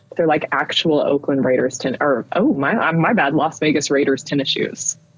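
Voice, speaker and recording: A woman talks at a moderate pace with a very deep, low pitch, ordinary pitch variation and very even loudness. Noticeable background noise runs under her voice. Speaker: podcast co-host. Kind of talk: casual chat. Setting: at home, child sleeping downstairs. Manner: quiet, holding back volume.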